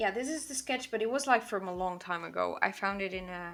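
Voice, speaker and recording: Speaking with a Portuguese accent, a woman uses a medium pitch and ordinary pitch variation on a very clean recording with a silent background. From Portugal. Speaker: digital artist streamer. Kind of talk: casual livestream chat while drawing. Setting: livestream.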